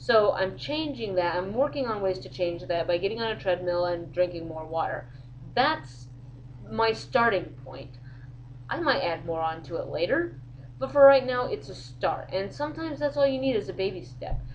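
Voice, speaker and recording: Vocal fry marks a woman's fairly low voice as it swings very widely in pitch at a moderate pace. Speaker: vlogger. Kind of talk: casual vlog monologue. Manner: loud; animated.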